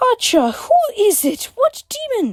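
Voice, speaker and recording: A put-on character voice, squeaky and extremely high, moves through very wide pitch swings at a fairly slow pace. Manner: sweet, caring.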